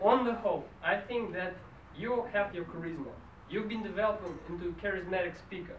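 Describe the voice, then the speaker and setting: Over light background noise and audible room echo, a man talks at a fairly quick pace in a high pitch. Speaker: speech evaluator at a public speaking club. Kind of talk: speech evaluation. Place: meeting room. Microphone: camera far.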